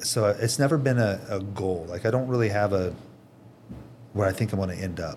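A man talks at a fairly quick pace but leaves long, frequent pauses, with audible room echo around him. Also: fairly low pitch for a man, ordinary pitch variation. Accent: American. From Indiana, US Midwest. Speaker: company president. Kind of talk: casual chat.

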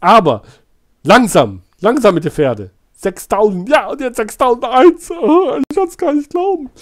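A man's extremely high voice at a very slow pace, with very wide pitch swings and big swings in loudness. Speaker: YouTube streamer baiting phone scammers. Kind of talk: casual live stream chat. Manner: animated.

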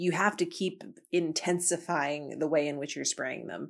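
A woman with a very deep, low pitch, vocal fry, and fairly even intonation, on a very clean recording with a silent background. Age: 30s. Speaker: podcast host and DJ. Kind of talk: solo monologue podcast.

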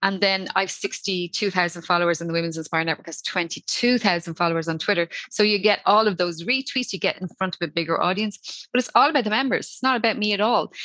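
A woman with a Dublin accent speaks in a medium pitch with a bright, sharp tone and ordinary pitch variation. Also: fairly quick pace. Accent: Irish (Dublin). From Ireland, Dublin. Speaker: social media consultant. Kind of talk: casual interview chat. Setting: online call. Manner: fast.

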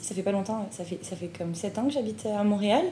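A woman speaks at medium pitch with a dark, mellow, somewhat breathy tone and ordinary pitch variation. Her pace is fairly quick, and room echo is audible. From France. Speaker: graduate student and podcast host. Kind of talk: casual interview.

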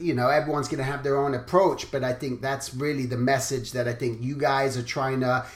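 Noticeable background noise runs under a man's fairly high voice. He speaks at a moderate pace in a flat monotone. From England. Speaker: podcast host, character designer. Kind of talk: interview.

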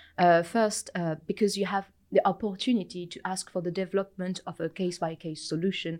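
Recorded very cleanly against a silent background, a woman with a French accent talks fairly quickly at a medium pitch with fairly even intonation and big swings in loudness. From France. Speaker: materials science researcher. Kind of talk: interview.

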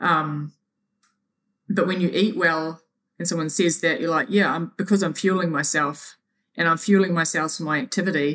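A woman with a New Zealand accent, fairly low-pitched, at a moderate pace with fairly even intonation and long, frequent pauses. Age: 40s. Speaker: triathlete. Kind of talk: interview. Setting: remote call.

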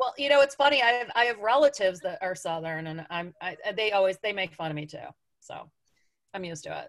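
With an American accent, a woman talks very fast at a medium pitch, her pitch swinging very widely and her loudness rising and falling sharply. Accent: Northern US accent, reduced by effort. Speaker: blogger, podcast guest. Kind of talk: casual chat.

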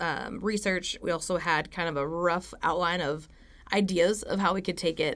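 A woman speaks at a moderate pace in an unremarkable speaking voice. Her pitch is fairly low and her intonation fairly even. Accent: American. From Stillwater, Oklahoma. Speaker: university student. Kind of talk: interview. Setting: studio on campus.

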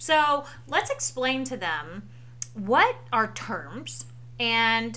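A woman with an American accent speaks at a fairly low pitch with vocal fry and very wide pitch swings. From US South. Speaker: parent hosting a family history podcast. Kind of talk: casual educational chat for children.

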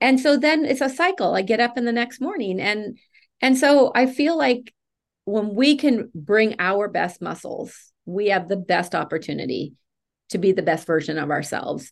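A woman's voice with very wide pitch swings. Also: quiet background. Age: 50s. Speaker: nonprofit founder and trainer. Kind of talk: interview conversation.

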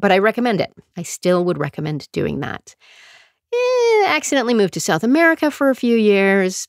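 In a western Canadian accent, a woman with a fairly high pitch speaks in an animated, playful tone with very wide pitch swings, on a very clean recording with a silent background. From Calgary, Alberta, Canada. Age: 50s. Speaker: podcast host, choreographer and performer. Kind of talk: casual self-interview monologue.

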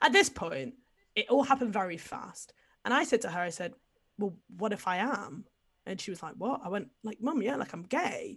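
A woman's fairly high voice with an English accent, very wide pitch swings, big swings in loudness, a moderate pace and long, frequent pauses. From England. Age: 20s. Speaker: podcast guest sharing coming-out story. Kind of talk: casual chat.

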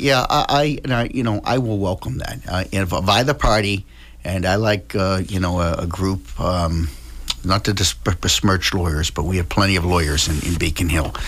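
With an American accent, a man speaks in a very deep, low pitch and lively intonation. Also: moderate pace. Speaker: state representative. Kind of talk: radio interview.

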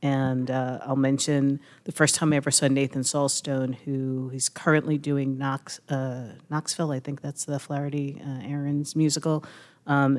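This woman has a very deep, low pitch and speaks in a monotone, flat intonation at a moderate pace. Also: very clean recording, silent background. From Brooklyn. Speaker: arts journalist. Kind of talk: live panel discussion. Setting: stage with audience. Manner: halting.

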